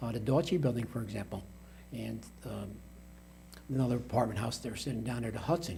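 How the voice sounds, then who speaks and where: Talking at a very fast pace, a man with an American accent uses ordinary pitch variation and leaves long, frequent pauses. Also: medium pitch for a man. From Troy, New York (US Northeast). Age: 60s. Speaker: mayor. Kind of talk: interview. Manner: halting.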